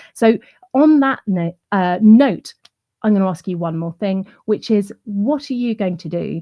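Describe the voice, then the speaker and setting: A woman speaks at a medium pitch and fairly slow pace with lively intonation. Her somewhat breathy voice has a dark, mellow tone in a dry, close sound with no echo. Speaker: client relationships trainer. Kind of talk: online summit presentation.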